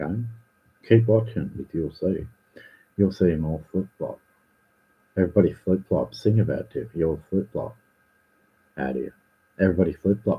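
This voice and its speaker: Speaking with an Australian accent, a man has a very deep, low pitch with vocal fry and ordinary pitch variation. His pace is moderate, with long, frequent pauses. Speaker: livestreamer. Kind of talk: ranting livestream. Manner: animated, repetitive.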